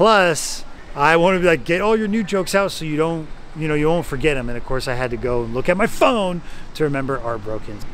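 Speaking at a fairly quick pace, a man uses a fairly high pitch and lively intonation.

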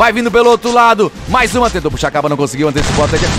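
Over music in the background, a man speaks in an energetic, excited tone with a high pitch and very wide pitch swings. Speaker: esports caster. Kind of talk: live game play-by-play commentary.

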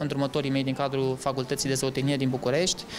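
A man speaks over noticeable background noise. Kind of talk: interview answer. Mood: earnest, calm. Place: office.

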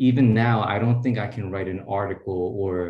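A man with a dark, mellow, somewhat breathy tone talks at a moderate pace with ordinary pitch variation, heard with audible room echo over a quiet background. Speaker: postdoctoral researcher; speaker. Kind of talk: tribute speech. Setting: video call. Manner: warm, casual. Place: home room. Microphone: video call.

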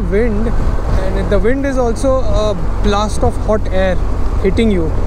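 The sound is dry with no echo, and noticeable background noise runs underneath. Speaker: motorcycle touring vlogger. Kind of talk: casual vlog chat. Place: motorbike. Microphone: helmet.

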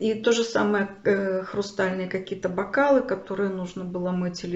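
The woman speaks at a moderate pace with fairly even intonation. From Kharkiv, Ukraine. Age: 60s. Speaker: video blogger, refugee. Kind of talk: personal storytelling to camera. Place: home room. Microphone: phone near.

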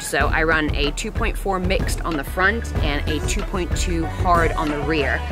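A woman is heard in a dry sound with no echo. Clear music plays in the background. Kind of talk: casual bike check talk. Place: forest.

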